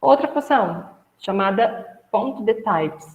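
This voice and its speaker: Room echo can be heard clearly as a woman talks. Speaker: instructor. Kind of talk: lecture.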